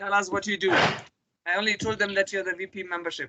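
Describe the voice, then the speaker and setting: Her tone is bright and sharp. The woman speaks at a moderate pace and medium pitch. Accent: German. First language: German. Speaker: volunteer coordinator. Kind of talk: online meeting presentation.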